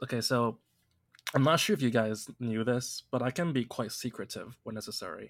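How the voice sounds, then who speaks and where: A man with a plain, everyday voice talks at medium pitch and a moderate pace, his pitch varying in an ordinary way. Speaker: podcast host. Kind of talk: casual chat.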